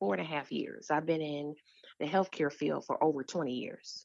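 Very deep and low, a woman's voice carries vocal fry. She speaks with an American accent. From Detroit, Michigan. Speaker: nonprofit founder and literacy advocate. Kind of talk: interview.

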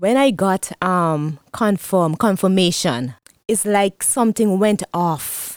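In a Vincentian accent, a woman talks at a very slow pace with lively intonation. The sound is dry and close with no echo, on a very clean recording with a silent background. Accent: Vincentian Caribbean English. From Saint Vincent and the Grenadines. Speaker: guest, church pastor's wife, testimony giver. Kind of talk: testimony. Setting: studio.

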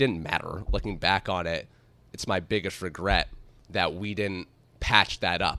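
The voice has a bright, sharp tone, vocal fry and an American accent at a moderate pace. The recording is very clean, with a silent background. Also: man. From upstate New York. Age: 20s. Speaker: author. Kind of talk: interview.

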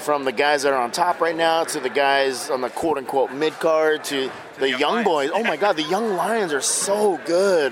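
A man pitched fairly high talks at moderate speed, with noticeable noise in the background. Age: 50s. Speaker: pro wrestler. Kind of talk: interview. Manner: casual, halting.

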